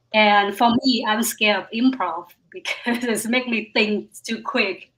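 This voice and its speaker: A woman talks at a fairly slow pace. Her pitch sits fairly high. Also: ordinary pitch variation. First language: Vietnamese. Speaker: stand-up comedian. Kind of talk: casual chat.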